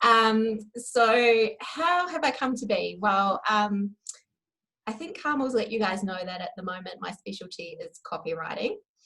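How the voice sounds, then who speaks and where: With a New Zealand accent, a woman speaks at a fairly slow pace in a bright, sharp tone, using lively intonation and big swings in loudness. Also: fairly high pitch for a woman. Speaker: copywriter. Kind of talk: interview. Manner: hesitant, many fillers.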